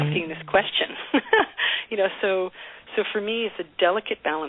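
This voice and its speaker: A woman's pitch varies in an ordinary way amid noticeable background noise. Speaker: singer-songwriter. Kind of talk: radio interview answer.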